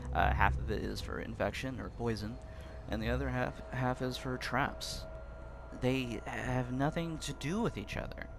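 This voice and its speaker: Over music in the background, a man speaks quietly at a moderate pace. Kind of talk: game commentary opinion talk.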